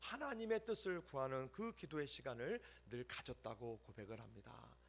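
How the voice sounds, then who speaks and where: The man's pitch rises and falls across a very wide range. His tempo stays moderate. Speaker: pastor. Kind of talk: sermon.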